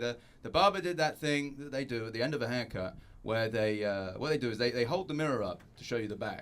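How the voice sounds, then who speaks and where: Over noticeable background noise, a man with a medium pitch talks at a very fast pace. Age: 30s. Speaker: stand-up comedian. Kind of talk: stand-up. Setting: stage with audience.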